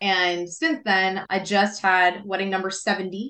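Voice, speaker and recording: A woman's plain, everyday voice, medium in pitch and fairly slow in pace. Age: 40s. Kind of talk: interview.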